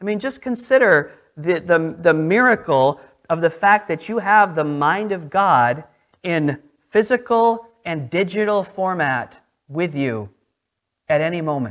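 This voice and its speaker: With an American accent, a man speaks in a high pitch with lively intonation. He keeps a fairly slow pace. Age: 30s. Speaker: pastor. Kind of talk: sermon. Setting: church.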